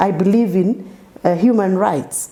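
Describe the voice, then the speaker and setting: Noticeable background noise behind a woman's moderately paced, medium-pitched speech with ordinary pitch variation. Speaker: politician. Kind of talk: interview. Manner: animated.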